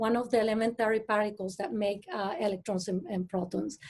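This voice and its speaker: A woman is speaking. She talks with a Mexican accent. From Mexico. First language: Spanish. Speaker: astrophysicist. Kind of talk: panel discussion. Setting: video call. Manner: halting.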